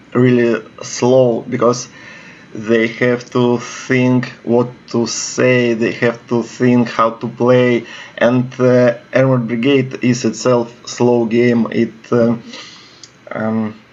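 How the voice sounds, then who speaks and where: A man with a Russian accent, medium in pitch, very slow and monotone with flat intonation, over noticeable background noise. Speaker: video game commentator. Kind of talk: gameplay commentary. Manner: halting, many fillers.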